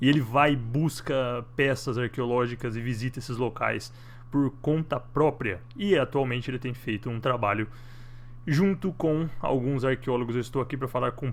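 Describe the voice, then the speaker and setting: The man has a plain, everyday voice at a medium pitch. He keeps a moderate pace and fairly even intonation. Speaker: online show host. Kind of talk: interview.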